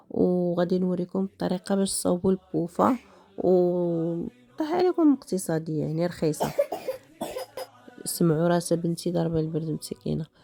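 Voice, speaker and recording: A woman speaks at a moderate pace with ordinary pitch variation. The sound is dry and close with no echo, and music plays in the background. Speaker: DIY video creator. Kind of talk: tutorial. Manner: hesitant, many fillers.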